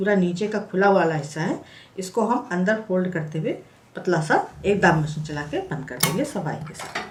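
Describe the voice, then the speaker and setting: Against noticeable background noise, a woman talks at a moderate pace in a fairly low pitch with ordinary pitch variation. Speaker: craft tutorial creator. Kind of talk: tutorial. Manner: conversational, explanatory.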